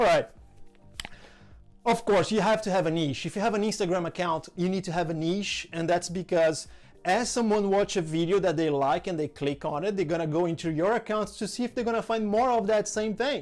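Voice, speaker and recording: Over music in the background, a man talks in a high pitch with ordinary pitch variation and a strong non-native accent. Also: fairly quick pace. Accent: strong foreign. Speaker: content creator, social media tutorial host. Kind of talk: tutorial. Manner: casual, enthusiastic.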